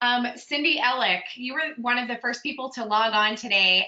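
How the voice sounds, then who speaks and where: A high-pitched woman with a Pittsburgh accent at a moderate pace, her pitch varying in an ordinary way. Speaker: strengths coach, webinar host. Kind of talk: webinar roll call. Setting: video call webinar.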